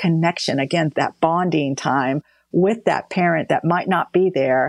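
Against a quiet background, a woman with a fairly low pitch speaks at a moderate pace with ordinary pitch variation, her sound dry and close with no echo. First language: not English. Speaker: defense department official. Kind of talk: interview.

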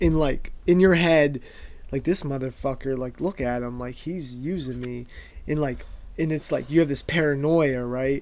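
A man has an unremarkable speaking voice and a fairly high pitch. He talks at a moderate pace with fairly even intonation. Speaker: podcast co-host. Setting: studio. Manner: profane, casual.

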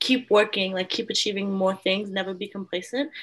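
With an Australian accent, a woman talks at a medium pitch and with fairly even intonation over noticeable background noise. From Australia (born in the Philippines, moved at four). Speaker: podcast co-host. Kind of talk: casual chat.

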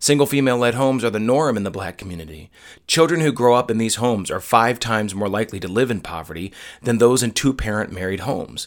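A man's medium-pitched voice at a very fast pace, with ordinary pitch variation, on a very clean recording with a silent background. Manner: forceful, indignant, building in cadence with emphatic pauses.

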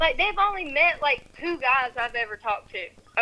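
Using a raised, projected voice, a woman speaks at a moderate pace with a high pitch. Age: 20s. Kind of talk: heated argument.

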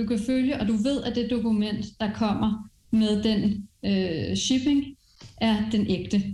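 A woman speaks at a fairly slow pace in a fairly high pitch, her dark, mellow tone somewhat breathy and her intonation fairly even. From France. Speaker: education executive and entrepreneur. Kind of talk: interview.

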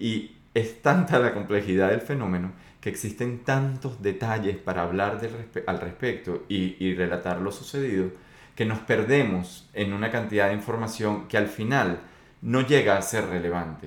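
The pace is moderate, with ordinary pitch variation. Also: man, fairly low pitch for a man. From Venezuela. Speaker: podcast host on complex systems. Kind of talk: solo monologue podcast. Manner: hesitant with fillers.

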